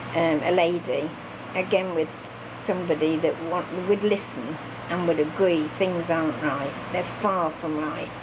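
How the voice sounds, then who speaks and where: Audible room echo and noticeable background noise surround the recording. A woman speaks fairly slowly at a fairly low pitch with fairly even intonation. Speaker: crafting vlogger. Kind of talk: casual vlog chat. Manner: halting, many fillers.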